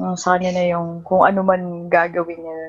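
A woman speaks in a fairly low pitch. Her pace is moderate. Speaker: podcast host, interviewer. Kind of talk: casual chat.

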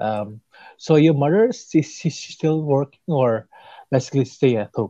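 A man speaks at medium pitch with a dark, mellow tone and lively intonation. The sound is dry and close, with no echo. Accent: Indonesian. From Indonesia. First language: Indonesian. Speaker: podcast host, stroke survivor. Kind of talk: interview. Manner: halting.

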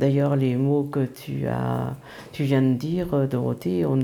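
Dark and mellow in tone, the woman speaks with a very deep, low pitch. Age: 60s. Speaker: retiree and grandmother. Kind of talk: casual chat.

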